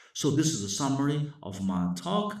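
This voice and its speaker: A man with a Chinese accent speaks at a fairly high pitch in a dark, mellow tone with vocal fry. His pitch swings very widely amid audible room echo. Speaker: professor. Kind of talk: lecture. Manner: halting.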